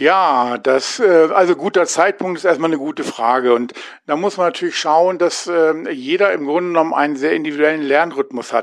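A man with a plain, everyday voice, fairly high pitch, ordinary pitch variation and a moderate pace. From Hanover, northern Germany. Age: 50s. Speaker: adult education lecturer. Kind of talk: interview.

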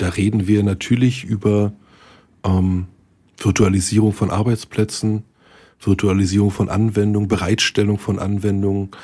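A dark, mellow tone at a moderate pace, with long, frequent pauses and monotone, flat intonation, on a very clean recording with a silent background. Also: man, fairly low pitch for a man. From Berlin, Germany. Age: 40s. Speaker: IT consultant, podcast host. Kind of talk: casual chat.

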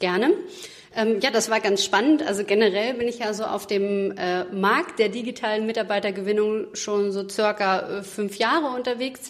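Fairly even intonation marks this speech, which proceeds at a moderate pace. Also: woman, fairly high pitch for a woman. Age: 30s. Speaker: recruitment consultant. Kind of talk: interview. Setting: studio. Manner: hesitant, many fillers.

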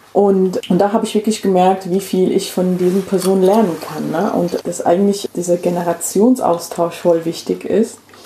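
Medium-pitched female voice, monotone and flat, at a moderate pace with hardly any pauses, over noticeable background noise. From England, London. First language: English (speaking German). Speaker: activist and migration researcher. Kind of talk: casual chat. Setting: at home on a sofa.

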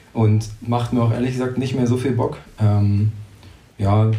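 Audible room echo surrounds a man of medium pitch speaking at a moderate pace with monotone, flat intonation. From Brandenburg, Germany. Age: 20s. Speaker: race organiser. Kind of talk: interview.

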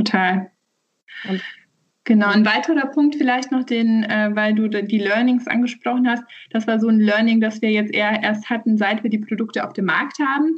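Somewhat breathy and fairly high in pitch, a woman speaks at a moderate pace with very even loudness, ordinary pitch variation and long, frequent pauses. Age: 30s. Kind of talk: interview.

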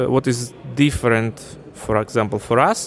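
With music in the background, the man's fairly slow speech shows ordinary pitch variation. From Ukraine. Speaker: fintech company CEO. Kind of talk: interview. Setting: conference.

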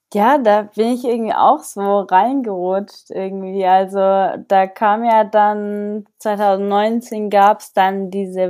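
A woman with a medium pitch and a dark, mellow tone speaks at a very slow pace with hardly any pauses and big swings in loudness. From southern Germany, Allgäu. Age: 20s. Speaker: pro mountain bike racer. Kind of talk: casual interview.

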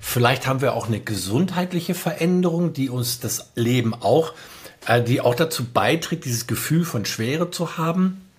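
An ordinary speaking voice from a man, moderate in pace, fairly high-pitched and lively in intonation. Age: 50s. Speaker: music producer and storytelling consultant. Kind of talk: casual chat.

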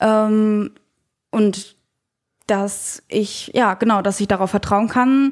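In a very clean recording with a silent background, a woman speaks very slowly in a fairly high, monotone voice with flat intonation, very even loudness, and long, frequent pauses. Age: 20s. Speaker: young investor, trainee. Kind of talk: interview. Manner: halting, many fillers.

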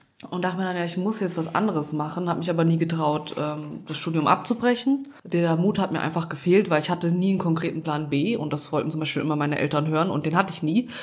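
Over noticeable background noise, a woman talks at a very fast pace, her fairly low pitch showing ordinary pitch variation. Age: 20s. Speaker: podcast co-host, law graduate. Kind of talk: casual chat.

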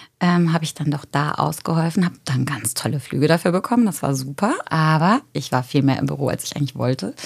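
Speaking very fast with lively intonation, a woman with a very deep, low pitch is heard over noticeable background noise. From Germany, Eifel region. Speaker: yoga teacher. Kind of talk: casual chat.

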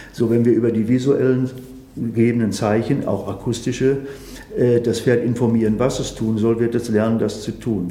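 Noticeable background noise and audible room echo surround a man who speaks with fairly even intonation. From Sauerland, Germany. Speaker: horse trainer. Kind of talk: interview.

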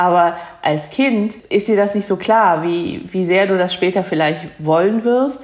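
A woman with an unremarkable speaking voice talks at a fairly slow pace and a medium pitch. Her loudness stays very even, and her pitch varies in an ordinary way. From Germany, near Cologne. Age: 50s. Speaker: second-generation Korean German interviewee. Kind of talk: interview.

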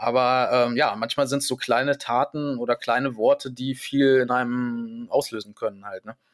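A man talks at a moderate pace with hardly any pauses, in a monotone, flat intonation. The recording is very clean, with a silent background. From Germany, Hanover. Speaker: voice actor. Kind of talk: interview.

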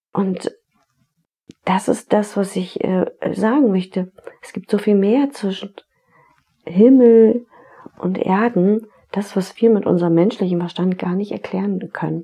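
Gentle in tone, a woman with a medium pitch speaks at a fairly slow pace with fairly even intonation, big swings in loudness, and long, frequent pauses. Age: 40s. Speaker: podcast host, tax advisor and therapist. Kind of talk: reflective solo podcast monologue. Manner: gentle, inviting.

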